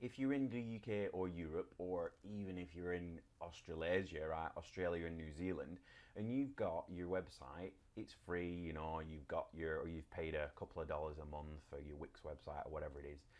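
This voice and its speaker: In a British accent, a man talks with a very deep, low pitch. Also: ordinary pitch variation, moderate pace. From UK. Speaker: web design blogger. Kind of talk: tutorial. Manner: casual, with many fillers.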